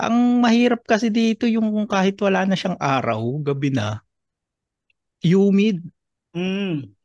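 At a fairly slow pace with long, frequent pauses, a man with a high pitch speaks with lively intonation in a quiet background, the sound dry and close with no echo. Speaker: stand-up comedian. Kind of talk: casual chat.

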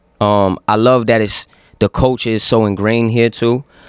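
A man talks with a New York accent at a fairly low pitch. His intonation is fairly even, and the sound is dry and close with no echo. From Yonkers, New York. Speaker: rapper. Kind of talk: casual chat. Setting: studio.

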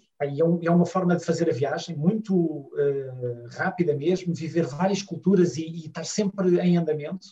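With a Lisbon accent, a man speaks at a high pitch and a moderate pace, his pitch varying in an ordinary way and hardly any pauses breaking his speech. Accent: European Portuguese, Lisbon. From Portugal, Lisbon. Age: 40s. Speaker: family travel blogger. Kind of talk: casual interview chat.

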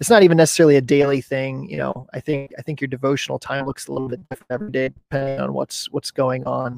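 A man with a medium pitch and ordinary pitch variation talks at a very fast pace with hardly any pauses, in a dry, close sound with no echo. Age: 30s. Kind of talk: casual interview. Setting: video call, outdoors.

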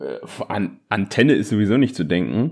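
Here a man has a plain, everyday voice. His pitch is fairly low and his pace moderate. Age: 20s. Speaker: podcast co-host and teacher. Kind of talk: casual chat. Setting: remote recording.

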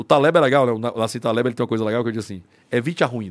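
Medium in pitch, a man rattles along at a very fast pace. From Brazil, Ceará (Fortaleza). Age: 40s. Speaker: lawyer and libertarian think tank member. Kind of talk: casual chat.

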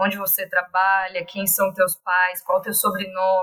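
Bright and sharp in tone, a woman talks at a medium pitch. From Brazil, Santa Catarina (Blumenau). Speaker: preschool teacher. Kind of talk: podcast interview.

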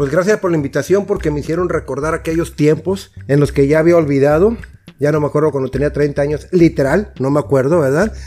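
At a fairly quick pace, a man speaks with a fairly high pitch and ordinary pitch variation. His tone is dark and mellow. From Mexico, Tampico. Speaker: guest. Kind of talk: casual chat.

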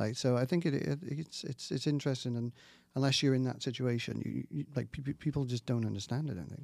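On a very clean recording with a silent background, a man with a Welsh accent speaks fairly quickly with ordinary pitch variation. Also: medium pitch for a man. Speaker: scientist, diagnostics head. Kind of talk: casual chat. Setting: studio.

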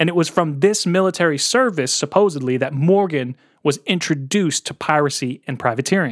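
A man with an American accent speaks in an unremarkable speaking voice, at a fairly quick pace and fairly high pitch with lively intonation. The recording is very clean, with a silent background and a dry, close sound with no echo.

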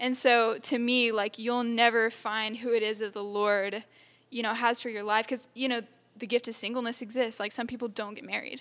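A woman with an American accent, fairly high in pitch, in a monotone, flat intonation, on a very clean recording with a silent background. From Texas. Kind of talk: casual chat.

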